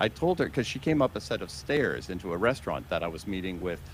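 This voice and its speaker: A man speaks with very wide pitch swings. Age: 60s. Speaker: motivational show host. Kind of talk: interview on live broadcast.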